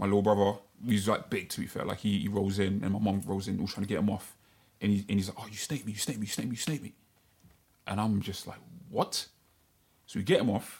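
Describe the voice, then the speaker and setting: Very fast talk from a man with a London accent, fairly low pitch, fairly even intonation and long, frequent pauses. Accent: London multicultural English. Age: 30s. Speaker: podcast co-host. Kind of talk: casual chat.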